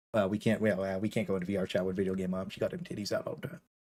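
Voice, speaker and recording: Very fast speech from a man. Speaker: gaming streamer. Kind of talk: live stream chat. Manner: animated.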